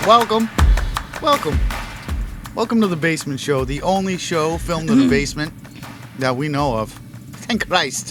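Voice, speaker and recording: A man speaks at a moderate pace in a fairly high voice, with an upbeat tone and lively intonation. He leaves long, frequent pauses while music plays in the background. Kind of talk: casual podcast banter. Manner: upbeat, joking.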